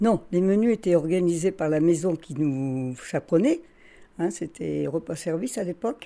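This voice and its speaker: A woman's dark, mellow tone at a fairly low pitch, with ordinary pitch variation and a moderate pace. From northern France, Carvin. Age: 80s. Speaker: retired cook and restaurant manager. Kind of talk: interview testimony.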